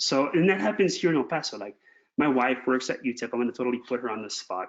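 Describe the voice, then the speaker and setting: A man talks very fast at a medium pitch, his intonation lively. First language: not English. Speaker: math education specialist. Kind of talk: webinar Q&A.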